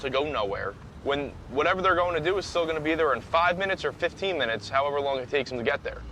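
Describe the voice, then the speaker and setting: Over noticeable background noise, a man with a New Jersey accent talks very fast at a fairly high pitch. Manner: complaining, conversational.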